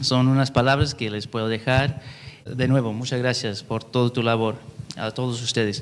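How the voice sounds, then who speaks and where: The man speaks with an English-speaking accent at a medium pitch and moderate pace, his intonation monotone and flat. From California. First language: English (speaking Spanish). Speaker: YouTube translator, panel speaker. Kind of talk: panel talk. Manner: halting, many fillers.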